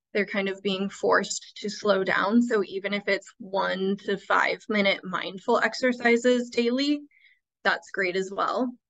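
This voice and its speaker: A woman talks at a fairly slow pace with fairly even intonation. The background is quiet. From Iowa. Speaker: school administrator; presenter. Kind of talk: webinar presentation. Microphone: video call.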